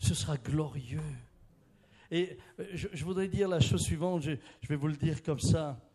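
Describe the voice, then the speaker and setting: Here a man speaks at a moderate pace with ordinary pitch variation. His voice is fairly high-pitched, with a dark, mellow tone. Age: 60s. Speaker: preacher. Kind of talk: sermon.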